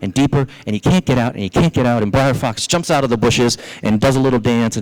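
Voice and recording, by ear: Natural voice, text read aloud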